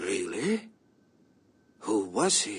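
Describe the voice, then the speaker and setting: This is a put-on character voice. It sounds raspy. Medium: video game. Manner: formal, measured.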